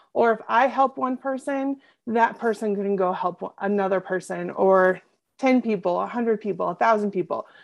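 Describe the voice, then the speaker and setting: With a quiet background, a woman uses a normal speaking voice at medium pitch, ordinary pitch variation and a moderate pace. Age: 30s. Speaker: business coach. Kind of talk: interview.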